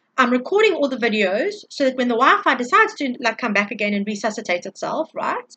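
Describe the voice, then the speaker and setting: A woman speaks at a very fast pace in a raised, projected voice, bright and sharp in tone, with very wide pitch swings. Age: 40s. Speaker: tarot reader and energy healer. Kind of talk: spiritual energy update monologue. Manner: loud; animated.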